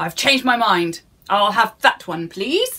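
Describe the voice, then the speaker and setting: A woman does a gruff, put-on character voice at a medium pitch. She keeps to a fairly slow pace. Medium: read story.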